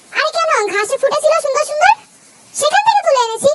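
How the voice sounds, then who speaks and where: In a put-on character voice, a woman squeaks at an extremely high pitch with lively intonation and a fairly quick pace, the sound dry and close with no echo. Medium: fan dub. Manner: innocent, easygoing.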